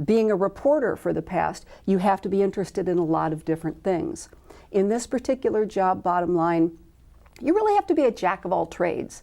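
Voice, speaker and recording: With a Midwestern accent, a woman speaks at a medium pitch in a dark, mellow tone, with lively intonation and a fairly quick pace. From US Midwest, Illinois and Iowa. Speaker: medical volunteer corps coordinator. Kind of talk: interview.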